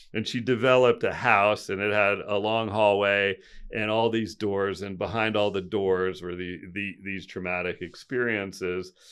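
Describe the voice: A man's fairly low, fairly bright voice at a fairly slow pace with fairly even intonation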